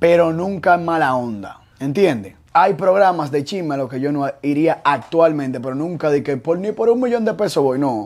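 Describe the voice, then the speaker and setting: With a Dominican accent, a man talks in an animated tone at a fairly high pitch, leaving hardly any pauses. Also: lively intonation, moderate pace. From Dominican Republic. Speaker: show creator and youtuber; show creator, youtuber. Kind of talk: casual interview. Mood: relaxed, joking. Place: studio. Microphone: lapel.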